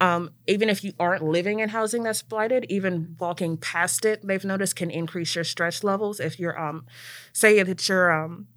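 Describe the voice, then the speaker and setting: At a fairly quick pace, a woman speaks in an American accent with ordinary pitch variation. Hers is a normal speaking voice. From Maryland, near Washington DC. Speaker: city planner and program manager at a neighborhood nonprofit. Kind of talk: casual interview chat. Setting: studio.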